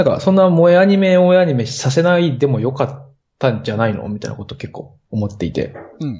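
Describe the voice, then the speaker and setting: Fairly high in pitch and somewhat breathy, a man talks at a very fast pace. His pitch swings very widely and his loudness shifts a lot. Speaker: podcast listener and band musician. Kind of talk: casual chat.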